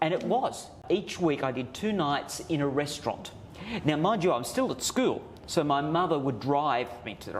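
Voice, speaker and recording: A man with fairly high pitch and lively intonation talks at a moderate pace amid noticeable background noise. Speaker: master puppeteer. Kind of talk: interview answer. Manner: storytelling, animated, amused.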